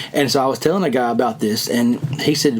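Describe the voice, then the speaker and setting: A man talks in a strong Southern US accent with a fairly high pitch. Noticeable background noise runs behind him. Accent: strong rural Southern, by his own account. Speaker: fishing podcast host. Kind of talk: casual chat.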